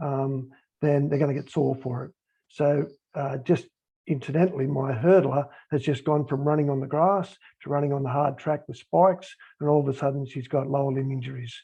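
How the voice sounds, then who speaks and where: Fairly quick, somewhat breathy speech from a man with a fairly high pitch and fairly even intonation. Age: 60s. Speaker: sports high performance manager, former rugby league player. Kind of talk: panel discussion on a call. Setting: group call.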